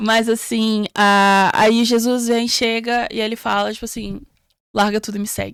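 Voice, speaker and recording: A woman with a slight non-native accent talks fairly slowly in a fairly high, monotone voice with flat intonation. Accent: slight foreign accent in Portuguese. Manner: hesitant, many fillers.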